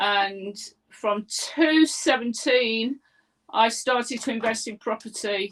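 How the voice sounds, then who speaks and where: A woman with an East Midlands accent talks at a fairly high pitch. Her pitch varies in an ordinary way. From England, Leicester (East Midlands). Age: 60s. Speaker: property investor, former teacher. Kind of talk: interview.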